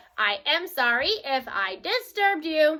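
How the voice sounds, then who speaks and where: In a put-on character voice, a woman speaks at a moderate pace, high-pitched and with very wide pitch swings. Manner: calm, polite.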